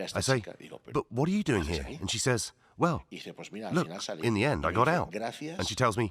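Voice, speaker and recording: A man's voice with vocal fry, very wide pitch swings and long, frequent pauses, on a very clean recording with a silent background. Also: medium pitch for a man, moderate pace. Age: 60s. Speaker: podcast host. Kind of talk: casual chat.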